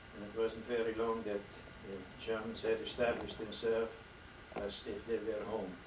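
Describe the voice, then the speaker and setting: Over noticeable background noise and audible room echo, a speaker with a Dutch accent talks at a moderate pace in a monotone, flat intonation, leaving long, frequent pauses. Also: man, medium pitch for a man. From Netherlands. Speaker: elderly father telling life story. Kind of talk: testimony. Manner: halting.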